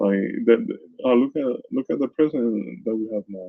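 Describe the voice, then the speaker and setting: With a Caribbean accent, a man speaks at a moderate pace and medium pitch. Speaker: news commentator and content creator. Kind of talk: casual vlog commentary. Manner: halting, many repetitions and fillers.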